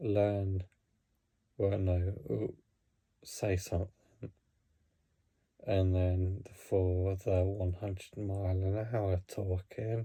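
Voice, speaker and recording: The speech is very slow, with long, frequent pauses and fairly even intonation. Its tone is dark and mellow and somewhat breathy. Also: man, very deep, low pitch for a man. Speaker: hockey vlogger. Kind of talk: casual talk to camera. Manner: halting, many fillers and restarts; talking really slowly.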